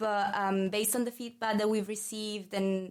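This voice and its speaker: This woman has an Italian accent and a medium pitch. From Italy. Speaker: marketing manager. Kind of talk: casual chat.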